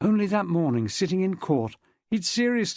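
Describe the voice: The delivery is plain reading aloud. Nothing much stirs behind it.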